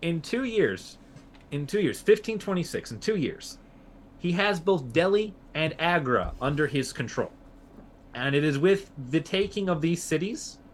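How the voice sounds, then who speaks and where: Lively in intonation, a man talks at a fairly slow pace in a fairly high pitch. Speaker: podcast host. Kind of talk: casual history podcast chat. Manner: animated, jokey, filler words.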